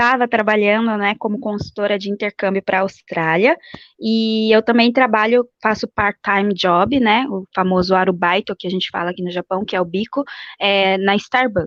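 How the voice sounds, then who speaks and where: In a dry, close recording with no echo and a quiet background, a woman speaks with an unremarkable speaking voice, fairly high in pitch and fairly even in intonation. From Brazil. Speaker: exchange program consultant living abroad. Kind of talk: interview.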